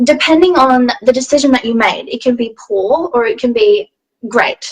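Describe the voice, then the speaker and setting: A woman's high voice at a moderate pace, with lively intonation. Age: young. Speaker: health advocate, interview guest. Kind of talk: interview, personal testimony. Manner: casual, hesitant.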